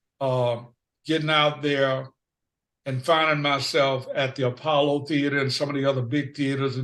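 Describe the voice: Audible room echo around a man of medium pitch at a moderate pace, with little pitch movement and a fairly bright tone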